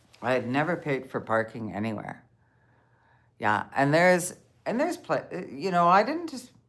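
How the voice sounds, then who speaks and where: At a moderate pace, a woman with a fairly low pitch and vocal fry swings very widely in pitch, with long, frequent pauses. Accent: Canadian. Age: 60s. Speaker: van-life vlogger. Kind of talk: casual live-stream chat. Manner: halting.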